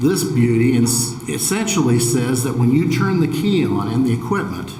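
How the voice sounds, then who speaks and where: With a Midwestern US accent, a man of medium pitch talks at a moderate pace, with audible room echo and noticeable background noise. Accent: US Midwest. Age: 60s. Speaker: farmer. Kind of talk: testimony. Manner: formal.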